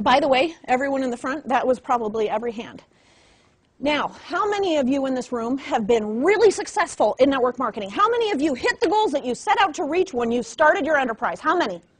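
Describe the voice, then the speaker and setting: A woman's high, animated voice with very wide pitch swings at a fairly quick pace. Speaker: network marketing trainer. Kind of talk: motivational training talk. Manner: fast.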